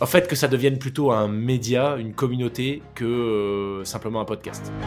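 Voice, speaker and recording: Music plays in the background as a man speaks. His pitch is medium and his pace moderate. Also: ordinary pitch variation. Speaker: podcast host, mental coach, former judo athlete. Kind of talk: casual podcast conversation.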